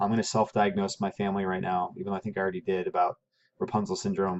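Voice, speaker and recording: A man at a very fast pace in a dry, close sound with no echo. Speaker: teacher. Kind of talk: lecture. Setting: at home.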